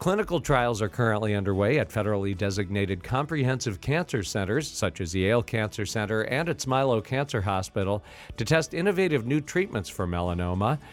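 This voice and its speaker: A man speaks at a fairly quick pace with lively intonation and a fairly low pitch. It is a plain, everyday voice on a very clean recording with a silent background. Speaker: radio announcer. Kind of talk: scripted announcements. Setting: studio.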